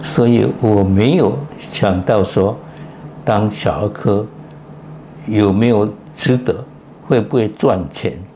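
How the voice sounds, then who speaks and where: A man with a fairly low pitch talks at a very slow pace, taking long, frequent pauses. His intonation is lively and his loudness very even, with noticeable background noise behind him. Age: 90s. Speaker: retired pediatric cardiologist, professor. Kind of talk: interview.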